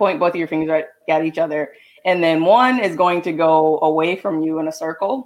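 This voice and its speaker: A woman speaks with an unremarkable speaking voice. Her pitch sits fairly low and varies in an ordinary way. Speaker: show writer giving health tips. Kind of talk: casual chat, tips segment.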